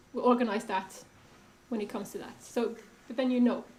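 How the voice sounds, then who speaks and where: Audible room echo surrounds this voice. A woman speaks in a high pitch. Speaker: panel moderator, critic. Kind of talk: panel discussion moderation. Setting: stage with audience, microphone.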